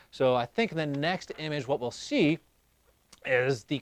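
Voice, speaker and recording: Heard in a very clean recording with a silent background and a dry, close sound with no echo, a man with an unremarkable speaking voice talks at a moderate pace, fairly high in pitch, with lively intonation. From Ohio. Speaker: live show host. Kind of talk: casual live-stream chat.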